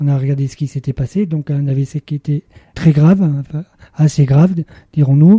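Dry and close with no echo, a man's somewhat breathy voice carries a dark, mellow tone, fairly even intonation and long, frequent pauses. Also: fairly high pitch for a man, moderate pace. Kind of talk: radio interview testimony. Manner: halting, many hesitations.

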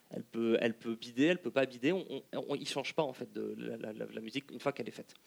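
Talking very fast, a man uses a medium pitch with vocal fry and ordinary pitch variation. His loudness swings widely, and the sound is dry and close with no echo. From France, Lyon. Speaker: political science researcher. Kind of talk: panel discussion. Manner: halting.

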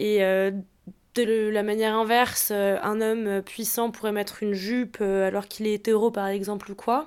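Moderate pace with monotone, flat intonation. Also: woman, fairly high pitch for a woman. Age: 20s. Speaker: fashion content creator. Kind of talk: casual chat.

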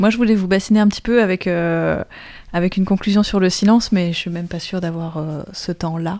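In a very clean recording with a silent background, a woman talks at a fairly quick pace with fairly even intonation, a dark, mellow tone and medium pitch. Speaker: radio host. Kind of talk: casual chat. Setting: studio.

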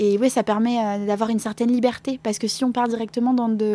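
A woman's fairly high voice at a fairly quick pace, monotone and flat in intonation. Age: 20s. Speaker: comic book author. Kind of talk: interview. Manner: halting.

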